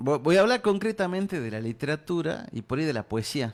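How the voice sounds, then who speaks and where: In a Salta accent, the speaker talks at a fairly quick pace with lively intonation. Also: man. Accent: Salta accent, kept. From Salta, northwest Argentina. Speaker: writer and poet. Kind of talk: interview.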